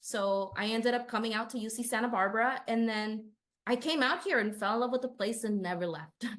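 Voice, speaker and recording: A woman with a slight Spanish accent speaks at a fairly high pitch. Her pace is fairly quick, with ordinary pitch variation. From Southern California, Inland Empire. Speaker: city council candidate, union organizer. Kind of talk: interview.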